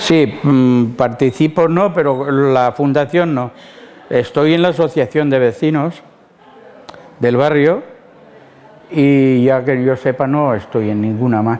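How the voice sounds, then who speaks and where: A man's fairly high voice at a very slow pace, with ordinary pitch variation, very even loudness, long, frequent pauses and noticeable background noise. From Spain, Castilla-La Mancha (Ciudad Real). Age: 70s. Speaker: retired factory worker and neighbourhood activist. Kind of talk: oral history interview.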